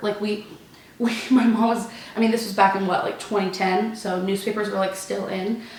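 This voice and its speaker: Amid noticeable background noise, a woman with an American accent talks fairly quickly in a medium pitch with fairly even intonation. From Texas. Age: 20s. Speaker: college student, theater performer. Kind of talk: casual Q&A talk to camera.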